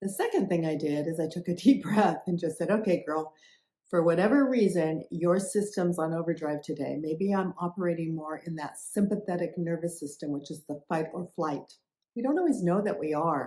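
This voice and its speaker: At a moderate pace, the voice has a warm, dark, mellow tone with ordinary pitch variation. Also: woman, fairly low pitch for a woman. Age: 70s. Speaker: health and wellness influencer. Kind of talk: casual talk to camera. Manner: conversational, warm.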